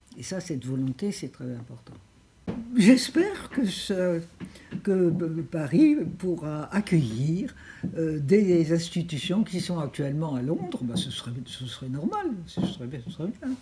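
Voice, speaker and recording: At a very slow pace, a woman speaks at a fairly low pitch with long, frequent pauses. Her pitch swings very widely, her loudness shifts a lot, and background noise is noticeable. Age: 80s+. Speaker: president of a European civic association, former minister. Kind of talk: interview answer.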